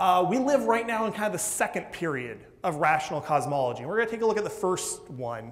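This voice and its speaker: Amid noticeable background noise and audible room echo, a man talks loudly at a very fast pace, his high pitch swinging very widely. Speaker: physics and astronomy professor. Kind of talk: public science lecture. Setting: lecture hall with audience and microphone.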